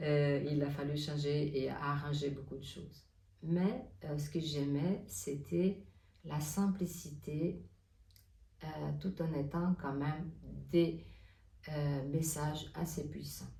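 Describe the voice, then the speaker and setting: A woman with a non-native accent speaks very slowly, leaving long, frequent pauses, in a very deep, low voice with a dark, mellow, somewhat breathy tone. Her pitch varies in an ordinary way, and the recording has audible room echo. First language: not French (speaking French). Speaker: oracle card reader and artist. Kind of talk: spiritual guidance talk. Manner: hesitant, many fillers.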